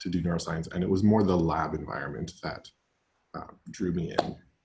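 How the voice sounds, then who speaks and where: A man with a very deep, low pitch speaks at a moderate pace. His voice is somewhat breathy, and his intonation is fairly even. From Alberta, Canada. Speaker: graduate student. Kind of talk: panel discussion.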